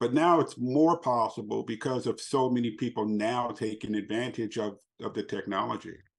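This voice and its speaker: With an American accent and an unremarkable speaking voice, a man of medium pitch talks at a moderate pace with ordinary pitch variation against a quiet background. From Los Angeles, US. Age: 60s. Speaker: abuse survivor and speaker. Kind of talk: interview.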